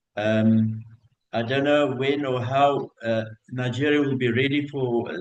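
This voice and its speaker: At a fairly slow pace, a man speaks at a medium pitch with ordinary pitch variation, and audible room echo surrounds him. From South Africa. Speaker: hotel general manager. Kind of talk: conference talk. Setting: video call. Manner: hesitant, many fillers.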